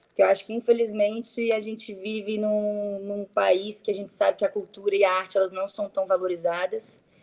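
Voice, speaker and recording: Here is a woman with a dark, mellow tone. Her intonation stays flat and monotone. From Brazil, Brasília. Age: 20s. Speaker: actress. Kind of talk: interview. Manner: hesitant, many fillers.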